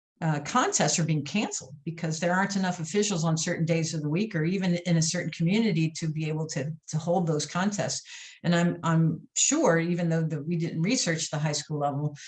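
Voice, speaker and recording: A woman with an American accent speaks at a fairly quick pace, her pitch fairly low and ordinary in variation. Her voice is somewhat breathy. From US Midwest, St. Louis, Missouri. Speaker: athletics consultant and former basketball official. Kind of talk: podcast interview. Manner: hesitant, many fillers and repetitions.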